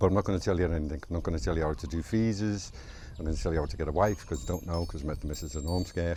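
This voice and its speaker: Speaking with a strong Scouse accent at a very fast pace, a man has a very deep, low pitch, vocal fry and a dark, mellow tone. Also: ordinary pitch variation. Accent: Scouse (Liverpool), strong. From Liverpool, England. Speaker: vlogger. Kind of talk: casual vlog monologue. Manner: chatty, informal.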